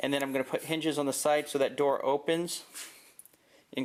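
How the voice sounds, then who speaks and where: A man speaks at a fairly quick pace with an unremarkable speaking voice. His pitch sits fairly high. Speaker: prepping YouTuber. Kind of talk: DIY tutorial. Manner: casual, with fillers.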